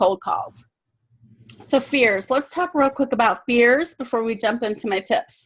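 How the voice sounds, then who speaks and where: A woman's high-pitched voice with lively intonation and an American accent. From Michigan, US Midwest. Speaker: sales coach. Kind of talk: webinar presentation. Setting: webinar call. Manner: fast; animated.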